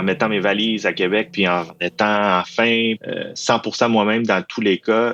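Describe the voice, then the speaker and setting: A Saguenay–Lac-Saint-Jean accent at a fairly slow pace, with monotone, flat intonation over a quiet background. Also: man. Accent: Saguenay-Lac-Saint-Jean Quebec French. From Quebec, Saguenay-Lac-Saint-Jean. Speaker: university employee. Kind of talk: interview testimony. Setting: studio.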